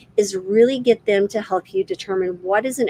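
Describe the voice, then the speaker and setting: With an unremarkable speaking voice, a woman talks at a moderate pace and medium pitch with lively intonation. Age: 50s. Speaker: physician and health educator. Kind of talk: live-stream health talk. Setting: livestream. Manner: casual, many fillers.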